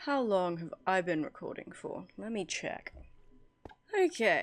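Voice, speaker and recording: At a fairly slow pace, the speaker uses a relaxed tone with an English accent. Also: woman. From England. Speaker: gaming video creator. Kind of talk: casual gameplay commentary. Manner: relaxed, chatty.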